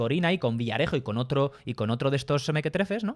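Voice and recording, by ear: On a very clean recording with a silent background, a man of medium pitch talks at a fast pace with lively intonation.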